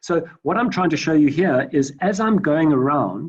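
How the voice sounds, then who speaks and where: A man's speech holds a moderate pace and ordinary pitch variation. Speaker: data science lecturer. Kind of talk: online lecture. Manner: halting, many fillers.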